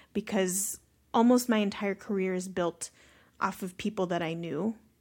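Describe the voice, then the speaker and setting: Medium-pitched, a woman speaks with an American accent. The recording is very clean, with a silent background. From Long Beach, California. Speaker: social entrepreneur. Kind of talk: casual interview conversation. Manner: animated, extroverted.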